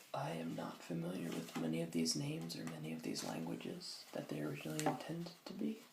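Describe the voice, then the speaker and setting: Over noticeable background noise, a soft-spoken man with a very deep, low pitch and ordinary pitch variation talks at a very fast pace with hardly any pauses. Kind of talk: ASMR soft-spoken book reading.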